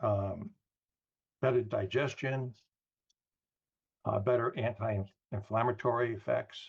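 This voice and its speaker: A man speaks with fairly even intonation in a somewhat breathy voice. The background is quiet. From New York. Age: 70s. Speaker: wellness product distributor. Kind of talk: product presentation on a group call.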